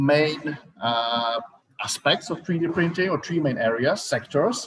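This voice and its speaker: With lively intonation and a fairly high pitch, a man speaks in a Czech accent at a moderate pace. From Czech Republic. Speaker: startup founder. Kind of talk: startup pitch presentation. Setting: virtual event livestream. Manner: hesitant, many fillers.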